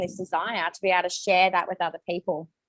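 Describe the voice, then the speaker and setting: A woman speaks with an Australian accent. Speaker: network marketing distributor. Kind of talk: testimony. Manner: fast.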